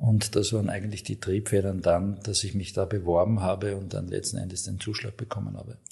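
A man's voice sits fairly low and sounds monotone and flat. He hardly pauses at all. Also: fairly quick pace. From Austria, Graz (Styria). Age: 50s. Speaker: hospital medical director, ENT surgeon. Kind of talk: interview. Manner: hesitant, many filler sounds.

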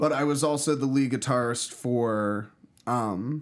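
A man with a normal speaking voice, medium in pitch, with fairly even intonation. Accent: American. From Pittsburgh, US. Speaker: musician. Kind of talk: casual chat.

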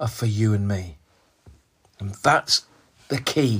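The recording is very clean, with a silent background, and the man's voice is somewhat breathy. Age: 60s. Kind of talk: devotional sermon monologue. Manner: hesitant, with fillers and repetitions.

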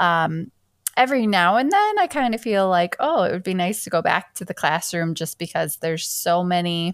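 A woman with an Upper Midwest accent speaks at a moderate pace with a medium pitch and ordinary pitch variation, on a very clean recording with a silent background. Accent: Upper Midwest American. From Michigan. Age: 30s. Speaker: teacher and podcast host. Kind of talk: casual chat.

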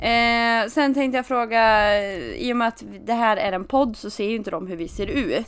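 A woman speaks at a moderate pace in a plain, everyday voice, her pitch fairly high with ordinary variation. The background is quiet. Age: 20s. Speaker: podcast co-host. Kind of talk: casual chat.

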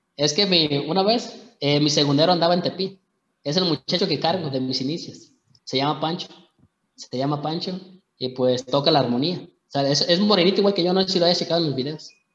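This man talks at a fairly quick pace with fairly high pitch and ordinary pitch variation. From Mexico. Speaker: singer. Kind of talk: interview. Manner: halting.

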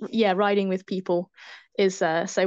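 A woman's medium-pitched voice with fairly even intonation, over a quiet background. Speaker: zookeeper and elite mountain bike racer. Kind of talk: casual interview. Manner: hesitant, many fillers.

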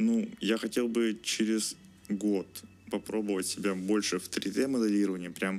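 Flat and monotone, a man speaks at a fairly slow pace in a fairly low pitch. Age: 20s. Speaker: engineering student. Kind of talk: interview. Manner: halting.

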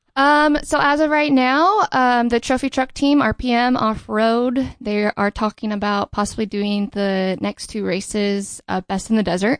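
Against a quiet background, a woman with an American accent speaks at a fairly slow pace and fairly high pitch, with ordinary pitch variation, hardly any pauses and a dry, close sound with no echo. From Southern California, Riverside. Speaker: racing driver and stunt driver. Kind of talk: casual interview chat.

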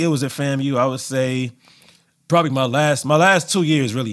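A man speaks with an American accent at a fairly quick pace. He has a normal speaking voice at medium pitch. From Los Angeles, California. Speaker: DJ. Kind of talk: casual interview chat.

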